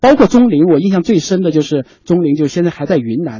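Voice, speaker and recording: Pitched high for a man, this male speaker talks at a fairly quick pace with lively intonation. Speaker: TV media personality, regular radio guest. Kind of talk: radio talk show conversation. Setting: radio studio.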